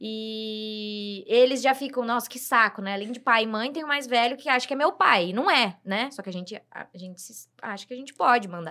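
The speaker uses a bright, sharp tone at a moderate pace, with ordinary pitch variation and hardly any pauses. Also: woman, fairly high pitch for a woman. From Brazil. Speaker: guest, host's sister. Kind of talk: casual chat.

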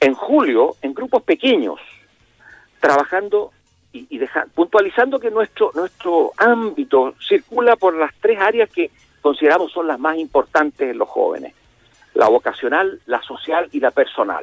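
With music playing in the background, a man talks at a fairly slow pace in a Chilean accent. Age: 60s. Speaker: youth mentoring program director. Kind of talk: interview.

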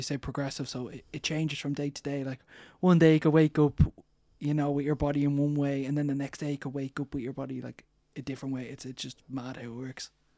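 A very fast-talking man in an Irish accent, fairly high in pitch with a dark, mellow tone and big swings in loudness, on a very clean recording with a silent background and a dry, close sound with no echo. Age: 20s. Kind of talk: interview.

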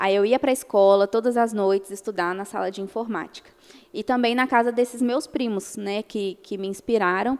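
A woman talks with ordinary pitch variation. She has a normal speaking voice. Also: fairly high pitch for a woman, moderate pace. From Brazil, Minas Gerais. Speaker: lawyer. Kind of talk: interview.

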